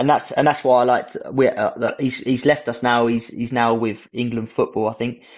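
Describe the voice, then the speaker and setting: A man speaks in a British accent at a medium pitch, flat and monotone. His pace is moderate, with hardly any pauses. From Britain. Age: 30s. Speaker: Paralympic snowboard athlete. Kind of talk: casual chat. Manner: halting.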